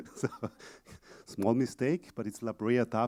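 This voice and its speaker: A man with an Austrian accent speaks at medium pitch and a moderate pace, with a dark, mellow tone. The sound is dry and close with no echo, on a very clean recording with a silent background. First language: German. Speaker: exhibit company presenter. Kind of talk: conference presentation. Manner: halting, many fillers.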